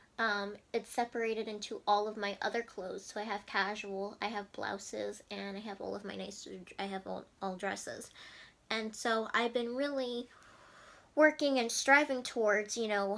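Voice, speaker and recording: A woman with an American accent speaks at a moderate pace in a normal speaking voice, fairly high in pitch. Her intonation is fairly even, but her loudness swings a lot. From New Jersey. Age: 20s. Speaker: lifestyle vlogger. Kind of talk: casual vlog monologue.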